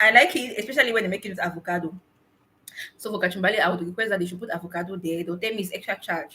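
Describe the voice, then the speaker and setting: Her tone animated, a woman speaks at a very fast pace. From Cameroon. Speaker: blogger and vlogger. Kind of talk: live stream chat. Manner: loud.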